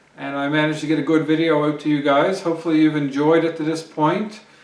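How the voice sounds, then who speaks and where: Noticeable background noise and audible room echo surround a man whose voice sits at a fairly high pitch. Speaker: homesteading vlogger. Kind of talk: casual vlog talk to camera. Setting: outdoors. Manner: hesitant, many fillers.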